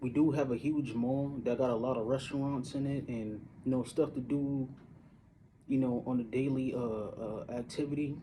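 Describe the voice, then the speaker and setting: At a moderate pace, a man speaks at medium pitch in a dark, mellow, somewhat breathy tone with fairly even intonation. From Syracuse, upstate New York. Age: 30s. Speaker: vlogger. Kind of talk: casual monologue. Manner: halting, many fillers.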